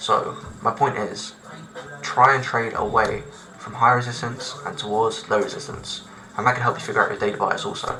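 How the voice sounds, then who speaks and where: Over music in the background and audible room echo, a man speaks at a medium pitch with fairly even intonation. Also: moderate pace. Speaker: trading educator. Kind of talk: tutorial. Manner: casual, loose explanation.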